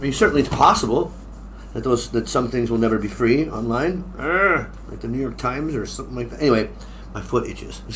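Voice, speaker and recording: A man with an American accent at a very fast pace, with big swings in loudness and audible room echo. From United States. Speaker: English exam teacher. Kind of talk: tutorial. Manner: casual, halting with fillers.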